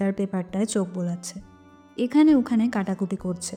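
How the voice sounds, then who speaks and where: Her somewhat breathy voice carries lively intonation as the woman speaks. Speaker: narrator. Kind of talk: audio story narration.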